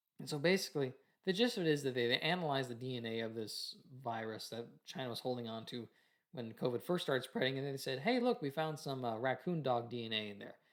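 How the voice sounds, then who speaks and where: A very fast-talking man with a medium-pitched voice and ordinary pitch variation. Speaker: political commentary vlogger. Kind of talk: casual commentary reading article aloud. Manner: halting, stumbles while reading; casual, hesitant with fillers.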